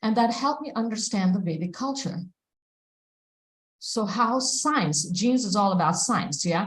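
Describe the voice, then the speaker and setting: A woman's fairly high, somewhat breathy voice with lively intonation, a moderate pace and long, frequent pauses, in audible room echo. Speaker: devotional class speaker. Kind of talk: scripture class lecture. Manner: halting with fillers.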